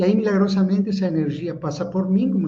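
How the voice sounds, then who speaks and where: A man speaks with lively intonation at a high pitch. Audible room echo surrounds his voice. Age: 60s. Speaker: Kabbalah teacher. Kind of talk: lecture. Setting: live stream video call.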